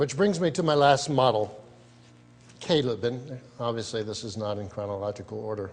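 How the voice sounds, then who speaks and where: This is an unremarkable speaking voice with ordinary pitch variation at a moderate pace. Its loudness takes big swings. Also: man, medium pitch for a man. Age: 60s. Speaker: speaker. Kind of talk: speech.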